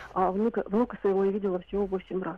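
The delivery is monotone, with flat intonation. The pace is very fast. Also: woman. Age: 50s. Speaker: radio caller. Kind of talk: personal account on a call-in show. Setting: phone call.

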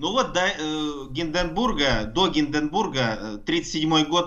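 Here a man talks at a very slow pace. His pitch is fairly high. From Russia, Altai. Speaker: university professor of engineering. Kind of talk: explanatory radio interview.

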